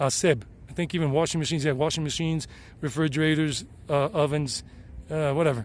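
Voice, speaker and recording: At a very fast pace, a man talks in a fairly high voice. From US South, South Carolina. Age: 50s. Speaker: vlogger and English teacher. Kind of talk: casual vlog talk. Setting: outdoors on a mountain hike.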